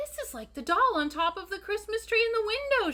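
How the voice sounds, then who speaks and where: Using a put-on character voice, a woman speaks at a fairly quick pace. Her tone is squeaky and extremely high in pitch. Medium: read story. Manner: eager, breathless.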